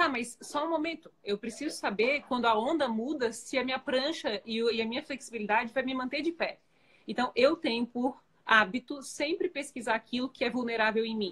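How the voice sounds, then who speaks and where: A woman with a high pitch, ordinary pitch variation and a moderate pace. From Florianópolis, southern Brazil. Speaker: entrepreneur and life coach. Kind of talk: live-stream interview.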